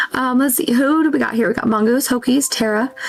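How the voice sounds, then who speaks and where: A soft-spoken woman talks at a high pitch and a fairly quick pace with fairly even intonation. Noticeable background noise runs under her voice. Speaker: livestreamer. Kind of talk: casual chat.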